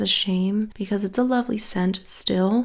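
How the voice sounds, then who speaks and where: Soft-spoken, a woman talks at a moderate pace with fairly even intonation. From Australia. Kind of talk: soft-spoken fragrance haul review talk to camera. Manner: soft-spoken, relaxing.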